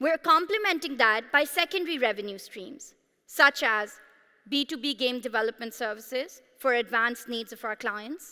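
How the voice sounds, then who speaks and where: A woman with a Pashto accent speaks at a moderate pace in a high, bright, sharp voice, with lively intonation and big swings in loudness, on a very clean recording with a silent background. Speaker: startup founder. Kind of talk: sales pitch. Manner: animated.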